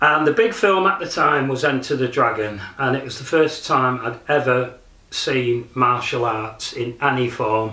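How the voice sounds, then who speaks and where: Through audible room echo and noticeable background noise, a man with a Lancashire accent speaks fairly slowly at a medium pitch with ordinary pitch variation. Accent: northern English, Lancashire. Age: 60s. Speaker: martial arts practitioner. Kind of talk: documentary interview. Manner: hesitant, with fillers.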